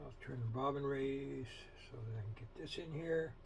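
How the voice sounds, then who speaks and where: A man speaks with lively intonation. Noticeable background noise runs underneath. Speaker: sewing machine restorer. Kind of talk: casual tutorial talk to camera. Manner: rambling, hesitant, with long pauses.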